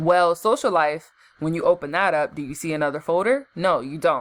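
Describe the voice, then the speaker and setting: A woman's fairly low-pitched voice in an animated tone. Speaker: gaming youtuber. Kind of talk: tutorial. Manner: fast; casual, animated.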